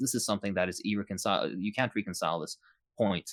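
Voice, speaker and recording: In a non-native accent, a man speaks at a fairly low pitch with fairly even intonation, the sound dry and close with no echo on a very clean recording with a silent background. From Iraq. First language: not English. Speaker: political YouTuber and physician. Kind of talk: interview Q&A. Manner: halting, many fillers.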